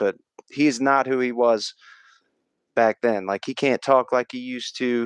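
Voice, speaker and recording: Moderately paced male speech at medium pitch, dry and close with no echo. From US Midwest. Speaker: live streamer. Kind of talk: casual live-stream chat. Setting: live stream reading chat. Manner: animated.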